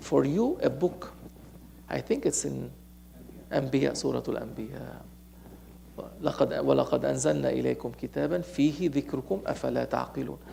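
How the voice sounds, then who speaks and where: A man with a Lebanese accent, at a very slow pace. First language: Arabic. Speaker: Sufi sheikh, religious teacher. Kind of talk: sermon. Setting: mosque gathering, streamed online. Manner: animated; halting.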